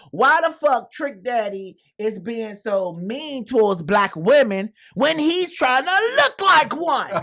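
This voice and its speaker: A man speaks fairly slowly with an American accent, his voice raised and projected. His tone is bright and sharp, and his pitch swings very widely. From Washington DC. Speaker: radio show host. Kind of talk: casual radio talk show banter. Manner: humorous, outspoken.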